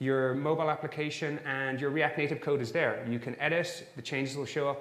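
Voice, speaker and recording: With an Irish accent, a man speaks at a fairly high pitch. He talks at a fairly quick pace, and the room echo is audible. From Ireland. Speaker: software engineer and conference speaker. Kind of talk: conference talk.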